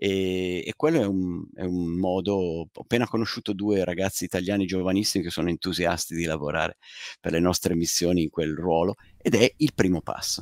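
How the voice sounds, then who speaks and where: A man with a very deep, low pitch at a fairly quick pace and fairly even intonation, in a dry sound with no echo over a quiet background. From Italy. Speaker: retired space mission operations manager and author; interviewee. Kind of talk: live interview. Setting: live stream. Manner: halting. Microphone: headset.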